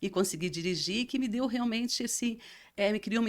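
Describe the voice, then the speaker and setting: This very clean recording has a silent background. A woman talks on it with ordinary pitch variation. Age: 60s. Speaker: interview guest sharing personal story. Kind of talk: testimony. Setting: recording studio. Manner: halting.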